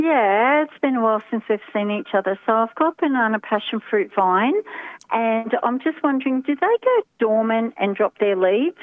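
A woman speaks at a fairly high pitch with an Australian accent. Her loudness stays very even. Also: ordinary pitch variation, moderate pace. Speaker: caller. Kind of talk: radio talkback. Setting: phone call.

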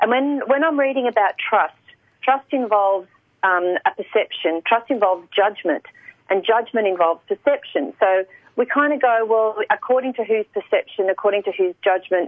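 A woman with an Australian accent speaks in a fairly high voice with lively intonation. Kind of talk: radio interview. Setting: radio.

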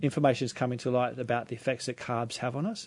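Someone speaks with an Australian accent and fairly even intonation. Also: man. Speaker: naturopath. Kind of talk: radio talk show interview. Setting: radio studio. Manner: halting, filler-heavy.

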